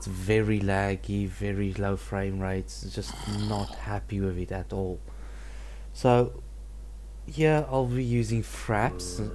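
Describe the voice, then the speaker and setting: A man with a non-native accent speaks at a very slow pace with long, frequent pauses and audible room echo. His very deep, low voice makes very wide pitch swings. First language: not English. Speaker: gaming let's play creator. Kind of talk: gameplay commentary.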